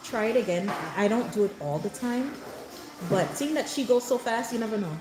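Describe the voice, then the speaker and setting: A woman speaks at a fairly high pitch with lively intonation. Noticeable background noise sits behind her. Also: fairly quick pace. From born in Jamaica, raised in New York. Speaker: mom content creator. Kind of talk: live stream chat. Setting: hair salon, live stream. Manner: loud.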